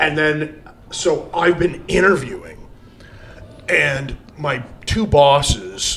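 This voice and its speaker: A man speaks over noticeable background noise. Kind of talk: casual chat. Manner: loud.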